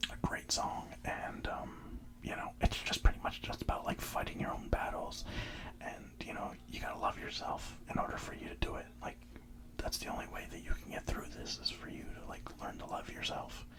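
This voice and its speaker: A whisper in a relaxed tone at a moderate pace, over noticeable background noise. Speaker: ASMR content creator. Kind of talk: ASMR whisper ramble about music. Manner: whispered, relaxed.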